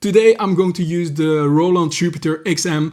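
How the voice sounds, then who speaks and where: This man speaks in a Belgian accent at a fairly slow pace. His pitch variation is ordinary. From Belgium. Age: 40s. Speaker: music producer, YouTuber. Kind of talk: tutorial.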